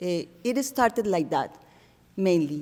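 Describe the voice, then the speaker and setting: Her voice at medium pitch, a woman speaks with a Spanish accent. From Colombia. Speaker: artist. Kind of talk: artist talk to audience. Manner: halting.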